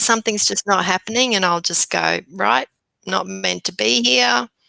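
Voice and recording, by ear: A woman's put-on character voice, gravelly and raspy, fairly low in pitch, at a moderate pace and very even loudness, with a dry, close sound and no echo.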